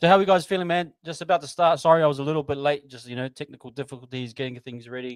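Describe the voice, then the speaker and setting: A man with a fairly high pitch and ordinary pitch variation, a very fast pace, hardly any pauses, big swings in loudness, and a dry, close sound with no echo. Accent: New Zealand. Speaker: sports livestream host. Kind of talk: live watch-along chat. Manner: quieter than usual.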